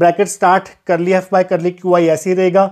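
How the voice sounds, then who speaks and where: Against a quiet background, a man talks at a moderate pace in a high voice. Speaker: physics teacher. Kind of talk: lecture. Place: classroom. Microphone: lapel.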